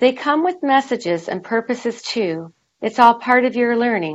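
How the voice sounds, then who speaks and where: Very wide pitch swings in a woman's fairly high voice. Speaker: author and inspirational speaker. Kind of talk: interview.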